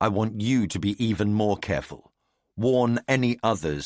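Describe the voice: Fairly even intonation in plain reading aloud, the background quiet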